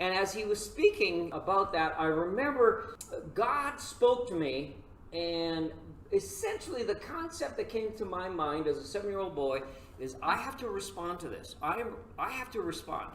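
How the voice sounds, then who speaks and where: A man speaks with noticeable background noise and audible room echo. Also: moderate pace. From Saskatchewan, Canada. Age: 70s. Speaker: pastor. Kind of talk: lecture.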